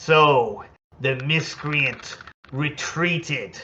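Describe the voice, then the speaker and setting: A put-on character voice from a man, pitched fairly high. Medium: actual play. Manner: formal, speaks of himself in third person.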